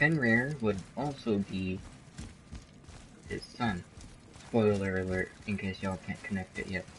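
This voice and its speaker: Over noticeable background noise, a man with a fairly low voice and ordinary pitch variation speaks fairly slowly, with long, frequent pauses. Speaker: video game streamer. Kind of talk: let's play commentary. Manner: casual.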